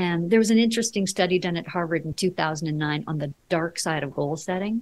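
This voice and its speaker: Somewhat breathy and lively in intonation, the voice moves at a moderate pace in a very clean recording with a silent background. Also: woman. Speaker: leadership coach. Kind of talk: interview.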